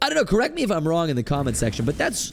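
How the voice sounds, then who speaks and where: A man's fairly high voice comes through while music plays in the background. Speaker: gaming YouTuber. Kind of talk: gameplay commentary. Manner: casual, thinking aloud.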